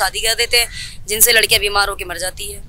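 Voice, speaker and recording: A woman's fairly high, monotone voice with flat intonation at a moderate pace, dry with no echo, over light background noise. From Delhi. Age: young. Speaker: community social worker. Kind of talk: interview. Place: street. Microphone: handheld.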